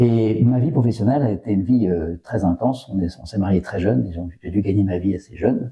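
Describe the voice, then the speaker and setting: Quick-paced and somewhat breathy, the voice moves with lively intonation and hardly any pauses. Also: man. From northern France, Valenciennes. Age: 60s. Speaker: retired business executive. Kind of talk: personal testimony interview. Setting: in a restored chapel. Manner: hesitant, many fillers.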